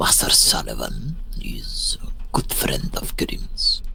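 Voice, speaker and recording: A put-on character voice whispers at a fairly slow pace. Clear background noise is present. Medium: game stream. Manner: slow, formal, refers to himself in third person.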